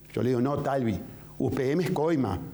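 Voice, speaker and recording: A man with a Uruguayan accent speaks at a fairly high pitch. Room echo is audible, and there is noticeable background noise. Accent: Uruguayan Spanish (rioplatense). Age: 60s. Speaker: presidential candidate. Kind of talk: political interview. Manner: vehement.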